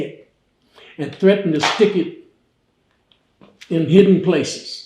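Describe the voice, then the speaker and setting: A man with a high voice for his sex talks at a fairly slow pace with fairly even intonation, long and frequent pauses, and audible echo in the room. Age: 80s+. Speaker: fraternity elder. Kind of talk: interview. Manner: conversational, storytelling.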